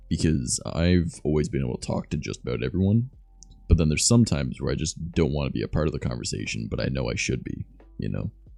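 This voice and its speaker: A man with a very deep, low pitch and an American accent, very fast pace, lively intonation, music in the background. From Southern Ontario, Canada. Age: 20s. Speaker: streamer. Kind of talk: casual chat.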